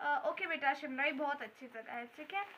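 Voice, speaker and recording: A woman's raised, projected voice at a fairly slow pace, with ordinary pitch variation. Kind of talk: acted comedy skit dialogue. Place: garden. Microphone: phone near.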